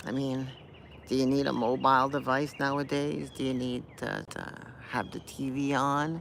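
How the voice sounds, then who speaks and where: This man speaks in a monotone with flat intonation. Background noise is noticeable. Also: medium pitch for a man, moderate pace. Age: 60s. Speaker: punk guitarist. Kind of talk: casual talk to camera. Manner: rambling, hesitant.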